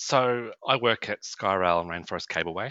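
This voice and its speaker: Speaking with a Queensland accent, a man keeps a moderate pace. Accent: Australian (Queensland). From Atherton Tablelands, Queensland, Australia. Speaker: tourism sales representative. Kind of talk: casual interview.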